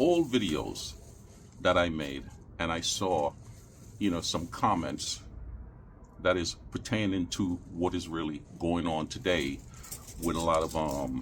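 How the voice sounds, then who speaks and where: A man with a very deep, low voice and vocal fry speaks at a fairly slow pace, his ordinary pitch variation broken by long, frequent pauses. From Caribbean. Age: 60s. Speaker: YouTuber, vlogger. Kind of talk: casual vlog monologue. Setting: outdoors in backyard.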